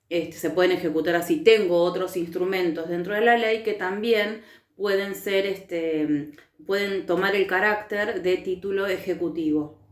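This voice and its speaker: Audible room echo surrounds a woman speaking at a fairly slow pace. Her pitch is medium, with fairly even intonation. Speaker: teacher. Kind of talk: recorded lecture.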